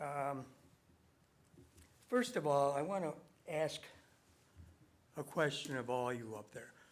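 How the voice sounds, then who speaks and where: In a western New York accent, a man speaks at a fairly high pitch with ordinary pitch variation. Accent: western New York American. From Webster, New York, US. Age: 70s. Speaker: resident speaking at public hearing. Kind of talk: public comment at town meeting. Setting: town board meeting room. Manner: confrontational, insistent.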